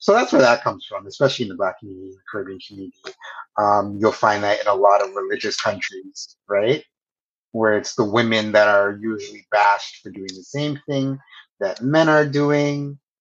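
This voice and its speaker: In a Canadian accent, a man talks in a normal speaking voice at medium pitch, with ordinary pitch variation and big swings in loudness. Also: fairly quick pace. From Canada, Toronto area. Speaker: communications professional and podcast co-host. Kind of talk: casual interview chat.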